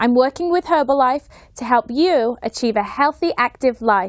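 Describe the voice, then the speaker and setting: A woman's high pitch and lively intonation at a fairly slow pace, dry with no echo, against a quiet background. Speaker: fitness instructor. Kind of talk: tutorial. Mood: warm, upbeat. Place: studio. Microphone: lapel.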